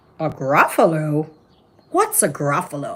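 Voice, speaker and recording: The put-on character voice has a middle pitch. Delivery comes at a fairly slow pace. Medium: read story.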